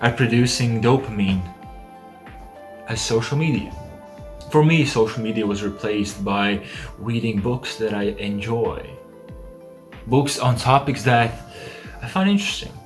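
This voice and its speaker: Over music in the background, a man speaks at a medium pitch and a fairly slow pace. He leaves long, frequent pauses. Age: young. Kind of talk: casual talk to camera.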